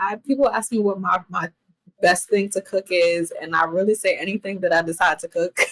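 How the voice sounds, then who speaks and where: A woman with a normal speaking voice, medium pitch, a fairly quick pace and a dry, close sound with no echo. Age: 20s. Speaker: chef. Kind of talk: casual chat. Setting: podcast interview.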